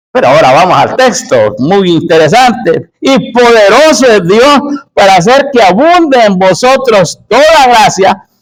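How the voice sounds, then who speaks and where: The speech moves at a fairly slow pace with lively intonation. An echo from the room can be heard. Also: man. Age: 60s. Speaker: preacher. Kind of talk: sermon.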